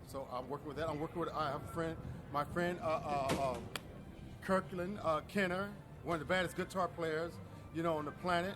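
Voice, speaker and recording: With music in the background, a man at fairly high pitch talks at a fairly quick pace, his intonation fairly even, broken by long, frequent pauses. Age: 60s. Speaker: film director and photographer. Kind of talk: interview. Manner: halting.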